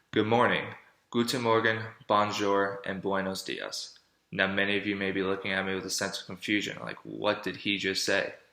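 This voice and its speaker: In a room with audible echo, a man speaks at a moderate pace with a bright, sharp tone, a fairly low pitch, and fairly even intonation. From Florida. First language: German. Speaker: college student. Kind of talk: persuasive speech.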